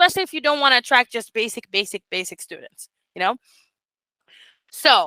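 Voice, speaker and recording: In a bright, sharp tone, a woman speaks with lively intonation in a dry, close sound with no echo. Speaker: teacher mentor. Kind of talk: online group mentoring session. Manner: animated.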